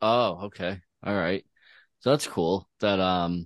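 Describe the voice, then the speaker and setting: A man's fairly low voice with ordinary pitch variation, dry and close with no echo, over a quiet background. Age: 30s. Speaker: podcast co-host. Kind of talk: casual chat.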